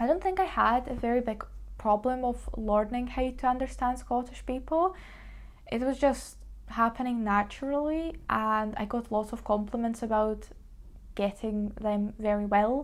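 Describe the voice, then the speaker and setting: In a Ukrainian accent, a woman speaks at a moderate pace. Her pitch is fairly high, with ordinary pitch variation. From Ukraine. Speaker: lifestyle vlogger. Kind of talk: casual vlog talk to camera.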